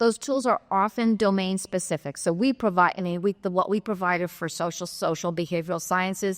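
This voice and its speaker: A woman talks at a moderate pace and medium pitch with fairly even intonation, the sound dry and close with no echo on a very clean recording with a silent background. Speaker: keynote speaker, data archive director. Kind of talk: conference Q&A. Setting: stage with audience. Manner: halting, many fillers.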